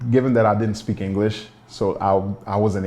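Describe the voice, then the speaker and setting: A man with a Haitian accent, fairly low-pitched, talking at a very fast pace with fairly even intonation. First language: Haitian Creole. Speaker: documentary subject, immigrant. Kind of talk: documentary interview.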